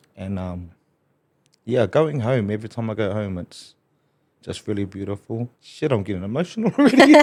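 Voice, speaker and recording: Long, frequent pauses break up a man's moderate pace as he speaks with a New Zealand accent, a fairly low pitch and ordinary pitch variation. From New Zealand, Hastings (Flaxmere). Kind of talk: casual podcast conversation.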